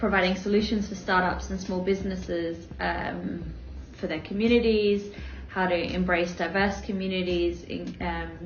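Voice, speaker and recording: Someone with an Australian accent speaks at a moderate pace, with noticeable background noise and audible room echo. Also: woman. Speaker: business owner. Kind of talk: interview.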